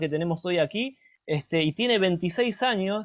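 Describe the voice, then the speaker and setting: Fairly quick speech with a Rioplatense accent, over music in the background. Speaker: interviewer, journalist. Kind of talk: interview.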